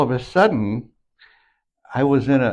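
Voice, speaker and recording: Very slow speech from a man, its pitch varying in an ordinary way. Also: quiet background. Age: 70s. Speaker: health vlogger. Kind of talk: casual monologue. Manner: halting, with false starts and repetitions.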